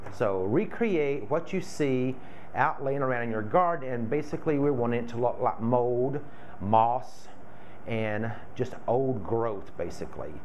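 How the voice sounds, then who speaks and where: There's light background noise as a man speaks at a fairly slow pace with lively intonation. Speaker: florist craft demonstrator. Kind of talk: tutorial. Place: home room. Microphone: camera far.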